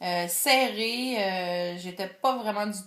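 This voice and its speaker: The speaker has a Quebec accent and lively intonation. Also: woman. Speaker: video blogger. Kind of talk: vlog monologue. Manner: hesitant, many filler words; careful enunciation.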